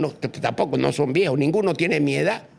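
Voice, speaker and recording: A man's fairly high voice with vocal fry. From eastern Bolivia (Santa Cruz, Chiquitania). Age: 80s+. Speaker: former politician. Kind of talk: podcast interview on politics. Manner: animated.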